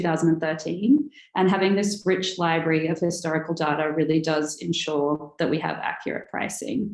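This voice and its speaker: Speech comes at a fairly quick pace in an American accent. Pitch variation is ordinary. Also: woman. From Australia. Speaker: pricing software company director. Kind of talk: webinar presentation.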